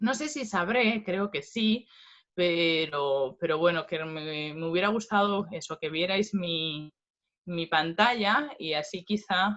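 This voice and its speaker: Speaking at a very slow pace, a woman uses lively intonation in a fairly low pitch. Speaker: philosophy professor. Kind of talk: lecture.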